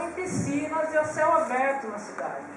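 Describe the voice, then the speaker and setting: Someone speaks in a São Paulo interior accent at a moderate pace. Noticeable background noise and audible room echo are present. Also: woman. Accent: caipira accent of São Paulo interior. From Brazil, Itu, São Paulo interior. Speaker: environmental activist and journalist. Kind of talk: speech at public assembly.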